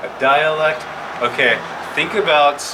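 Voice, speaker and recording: An American accent comes through with audible room echo and noticeable background noise. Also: man. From Yakima Valley, Washington. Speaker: Native language and culture educator. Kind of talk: presentation to children.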